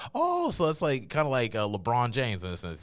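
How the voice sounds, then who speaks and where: A man speaks with a slight Carolina accent. The recording is very clean, with a silent background. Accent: slight Carolina drawl. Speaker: podcast host. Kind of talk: casual interview.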